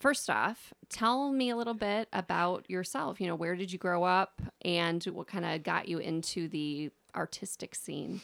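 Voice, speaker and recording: A woman with an unremarkable speaking voice talks at a medium pitch, with lively intonation and hardly any pauses. The recording is very clean and silent behind her, with a dry, close sound and no echo. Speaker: podcast host and singing teacher. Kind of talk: casual interview chat.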